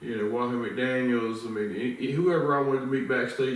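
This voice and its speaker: There is audible room echo and noticeable background noise. A man with a medium pitch talks at a moderate pace with fairly even intonation. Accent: Southern US. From US South, the Carolinas (Wilmington, North Carolina). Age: 50s. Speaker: interviewer and ministry leader. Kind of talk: casual interview chat. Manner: slurred, stuttering speech from illness.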